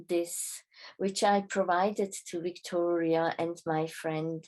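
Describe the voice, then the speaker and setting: Speaking with a non-native accent, a woman talks at a very slow pace with fairly even intonation. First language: not English. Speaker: spiritual travel guide. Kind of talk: reading aloud a travel report. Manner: formal.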